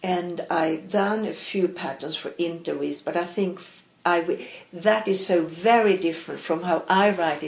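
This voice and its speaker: Fairly even intonation at a fairly slow pace, in a Swedish accent. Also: woman, fairly low pitch for a woman. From Sweden (Stockholm, grew up in Malmö). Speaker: knitwear designer and knitting teacher. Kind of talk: casual interview chat.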